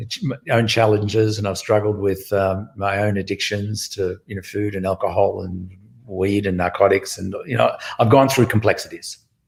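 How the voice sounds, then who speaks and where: A man speaks with a somewhat breathy voice at a fairly low pitch. His pace is moderate and his intonation fairly even. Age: 60s. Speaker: music educator, founder of a music school network. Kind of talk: interview.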